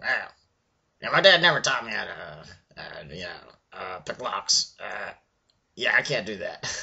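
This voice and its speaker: Putting on a raspy character voice, a man talks at a moderate pace and medium pitch. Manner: hesitant, sheepish.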